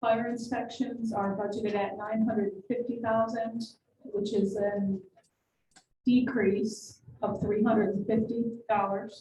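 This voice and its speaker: A woman with a fairly high pitch and a dark, mellow tone speaks slowly-ish and somewhat breathily, her intonation monotone and flat. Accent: American. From New York. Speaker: city finance official. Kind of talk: budget presentation at council meeting. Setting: city council meeting.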